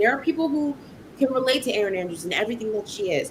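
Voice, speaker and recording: Over noticeable background noise, a woman talks with a New York accent. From New York City, Brooklyn and Queens. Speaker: sports broadcaster. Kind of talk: interview conversation. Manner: animated.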